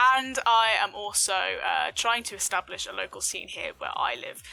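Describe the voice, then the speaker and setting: A woman with a southern English accent speaks at a fairly high pitch and a moderate pace. Music plays in the background. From Southeast England. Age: 20s. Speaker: gaming streamer. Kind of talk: vlog-style personal story. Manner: frequent fillers (um, uh).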